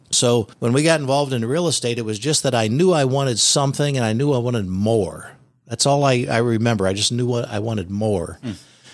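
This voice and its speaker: Fairly quick and with hardly any pauses, a man talks in an unremarkable speaking voice. His pitch is medium and varies in an ordinary way. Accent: American. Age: 60s. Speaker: real estate investor. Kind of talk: casual chat. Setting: studio.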